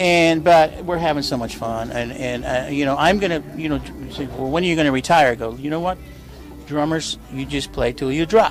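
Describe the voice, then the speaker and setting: With an American accent, this voice moves at a fairly quick pace with ordinary pitch variation while music plays in the background. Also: man, fairly high pitch for a man. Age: 70s. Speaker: drummer. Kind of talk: interview. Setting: cafe.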